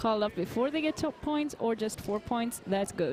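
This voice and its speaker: A woman's fairly high voice at a moderate pace, with ordinary pitch movement and noticeable background noise. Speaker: roller derby commentator. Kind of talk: live commentary.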